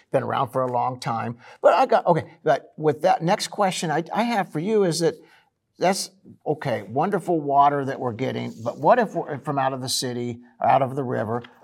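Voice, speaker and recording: Over a very clean recording with a silent background, a man talks at a fairly quick pace in a fairly high voice, his intonation lively and touched with vocal fry. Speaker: radio host. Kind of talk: casual interview.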